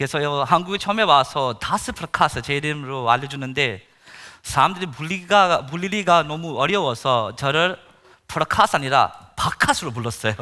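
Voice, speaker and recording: Lively intonation marks a man's fairly high voice with a bright, sharp tone. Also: moderate pace. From India. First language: Indian language, not Korean (speaking Korean). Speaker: missionary pastor. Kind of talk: sermon testimony. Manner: halting, many fillers.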